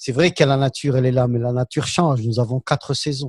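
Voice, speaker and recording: A man speaks in a somewhat breathy voice. The sound is dry and close with no echo, over a quiet background. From Algeria. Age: 60s. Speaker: political commentator. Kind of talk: panel discussion. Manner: hesitant.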